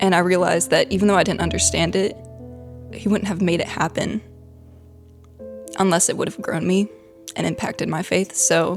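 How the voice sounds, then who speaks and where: A woman with a Southern US accent speaks at a fairly quick pace with long, frequent pauses while music plays in the background. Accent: Southern American. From Middle Tennessee. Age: young. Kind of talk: personal testimony.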